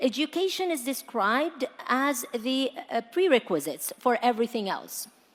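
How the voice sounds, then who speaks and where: Over noticeable background noise, a woman with an American accent speaks at a high pitch with lively intonation. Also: moderate pace. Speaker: panel moderator. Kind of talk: panel discussion.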